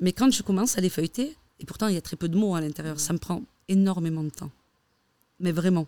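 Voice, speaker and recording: Speaking at a fairly quick pace, a woman has a medium pitch and ordinary pitch variation. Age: 30s. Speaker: stylist. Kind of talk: casual chat.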